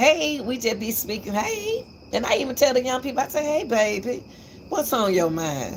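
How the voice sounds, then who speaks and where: Noticeable background noise sits behind a woman talking at a moderate pace. Her high-pitched voice swings very widely in pitch. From Atlanta, Georgia, US South. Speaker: YouTube commentator. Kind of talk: livestream commentary monologue.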